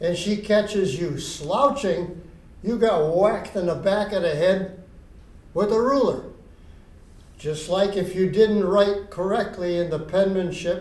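In a room with audible echo, a man speaks at a fairly slow pace in a high voice with ordinary pitch variation. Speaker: exercise instructor for seniors. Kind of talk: tutorial. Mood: relaxed, anecdotal. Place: stage.

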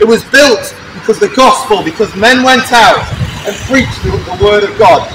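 Over noticeable background noise, a man talks at a moderate pace with an extremely high pitch and ordinary pitch variation. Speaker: street preacher. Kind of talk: open-air evangelistic sermon to passers-by. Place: street. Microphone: camera far.

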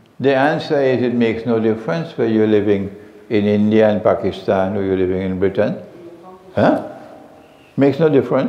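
Audible room echo surrounds a man talking at a fairly quick pace with ordinary pitch variation and long, frequent pauses. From Trinidad. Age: 70s. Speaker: Islamic scholar. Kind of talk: lecture Q&A session. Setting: mosque with live audience. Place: home room. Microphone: headset.

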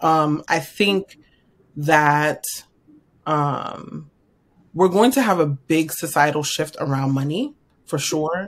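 A woman speaks very slowly in a very deep, low pitch, with ordinary pitch variation. Her pauses are long and frequent. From New York. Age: 30s. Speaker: financial strategist; podcast guest. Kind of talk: interview. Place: home room.

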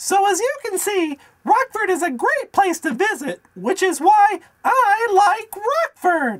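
The speaker uses a cartoonish character voice at an extremely high pitch. The pace is fairly slow. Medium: puppet. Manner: earnest, enthusiastic.

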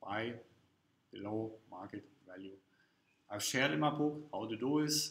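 A man with lively intonation and audible room echo. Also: fairly bright tone.

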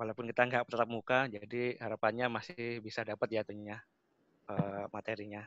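A man speaks in a monotone, flat intonation, in a dry sound with no echo against a quiet background. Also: medium pitch for a man, fairly quick pace. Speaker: automation technical expert, webinar speaker; webinar speaker. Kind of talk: webinar presentation. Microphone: connection dropped; video call.

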